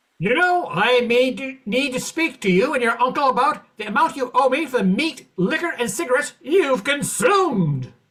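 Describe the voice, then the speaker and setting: A man speaks in a put-on character voice at an extremely high pitch, with lively intonation, a moderate pace and hardly any pauses. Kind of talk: 1940s radio comedy acting. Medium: stage play.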